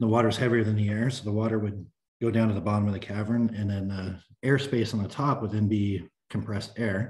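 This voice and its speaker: With an American accent, a man talks very fast at a fairly low pitch, his voice somewhat breathy. His intonation is monotone and flat, and the background is quiet. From US West, Sacramento, California; California. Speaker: mechanical engineer. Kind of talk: technical presentation. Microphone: video call.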